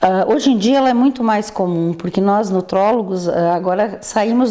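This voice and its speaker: Noticeable background noise is present throughout. Over it, a woman speaks at a medium pitch. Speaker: physician. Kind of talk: interview. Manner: halting.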